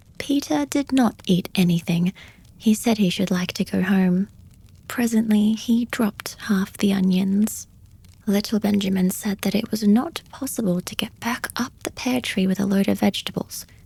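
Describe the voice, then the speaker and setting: A soft-spoken woman's somewhat breathy voice, medium-pitched with a dark, mellow tone, a calm tone, ordinary pitch variation and a moderate pace. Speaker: audiobook reader / podcast host. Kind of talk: soft-spoken bedtime story reading. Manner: soft-spoken, calm, relaxing.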